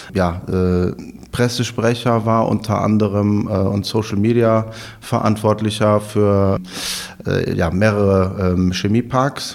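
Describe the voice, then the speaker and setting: Over noticeable background noise, a man speaks very slowly in a fairly low, monotone, flat voice. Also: very even loudness. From Rhineland, Germany (Overath near Cologne). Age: 30s. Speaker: startup managing director and marketing head. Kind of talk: interview.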